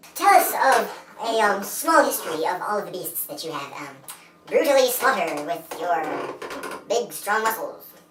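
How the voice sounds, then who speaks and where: This put-on character voice sits fairly high, swings very widely in pitch and moves at a moderate pace, broken by long, frequent pauses, with audible echo around it. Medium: comedy sketch. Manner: brisk, sarcastic.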